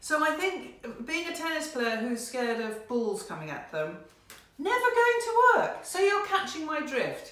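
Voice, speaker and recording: A woman speaks at an extremely high pitch with very wide pitch swings. Noticeable background noise and audible room echo fill the recording. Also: fairly slow pace. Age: 60s. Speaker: card reader, painter. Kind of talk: card reading for viewers. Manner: conversational, some hesitations.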